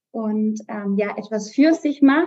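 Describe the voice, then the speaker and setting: A woman's voice sits fairly high. It is somewhat breathy, with a dark, mellow tone. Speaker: amateur cyclist and mother. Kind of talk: casual chat.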